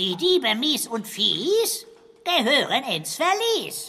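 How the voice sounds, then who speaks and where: The voice is a put-on character voice, high-pitched and very slow. Its pitch swings very widely. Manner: silly, speaks in rhymes.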